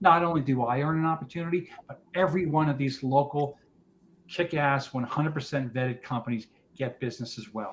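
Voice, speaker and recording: Talking at a fairly quick pace, a man with a fairly high pitch shows ordinary pitch variation. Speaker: business founder presenting at networking meeting. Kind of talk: business presentation. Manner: fast.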